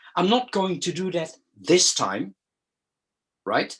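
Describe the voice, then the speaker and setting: A man speaks with a Dutch accent at a high pitch. The background is quiet. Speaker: educational consultant. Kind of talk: lecture. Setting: video call. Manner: halting, many fillers and repeats.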